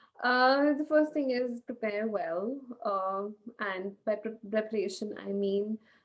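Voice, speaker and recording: Fairly slow speech from a woman, fairly high in pitch, with ordinary pitch variation. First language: not English. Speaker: medical residency candidate. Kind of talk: interview. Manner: halting, many fillers.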